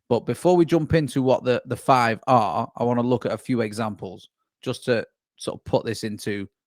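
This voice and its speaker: A man's medium-pitched voice, a plain, everyday voice, at a fairly quick pace with ordinary pitch variation, in a very clean recording with a silent background and a dry, close sound with no echo. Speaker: sales consultant. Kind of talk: masterclass presentation.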